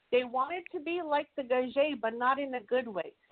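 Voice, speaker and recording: Using a normal speaking voice, a woman talks with lively intonation at a moderate pace. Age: 40s. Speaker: talk show panelist. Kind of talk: casual discussion.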